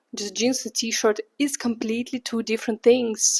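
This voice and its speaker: A woman's fairly high, monotone voice in a Russian accent, flat in intonation, over a quiet background. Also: dry, close sound with no echo. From Russia, St. Petersburg. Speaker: vlogger. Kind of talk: casual vlog monologue. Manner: chatty, many fillers.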